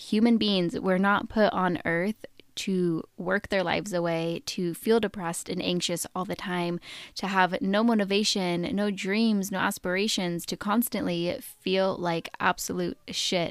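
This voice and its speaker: A woman with an American accent, medium pitch, fairly even intonation and a fairly slow pace, on a very clean recording with a silent background. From Oregon, US. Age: 20s. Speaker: podcast host. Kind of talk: solo podcast monologue. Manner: casual, with filler words.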